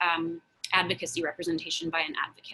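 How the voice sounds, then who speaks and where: This woman's voice has a fairly low pitch and a bright, sharp tone. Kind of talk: Q&A on a community video call. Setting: Zoom video call.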